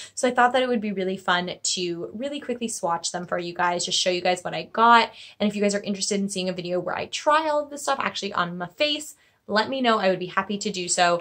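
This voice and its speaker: A woman at a very fast pace, with lively intonation, over a quiet background. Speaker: beauty vlogger. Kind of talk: casual vlog chat. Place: home room. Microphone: phone near.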